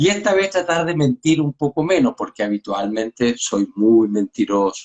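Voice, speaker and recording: Barely pausing, a man talks at a moderate pace and a fairly high pitch with very wide pitch swings. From Chile. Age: 60s. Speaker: pediatrician. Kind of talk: casual chat.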